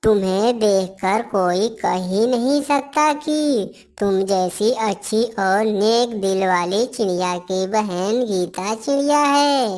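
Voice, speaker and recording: A female-sounding cartoonish character voice at a medium pitch, very slow yet with hardly any pauses, in a very clean recording with a silent background. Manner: soft, gentle.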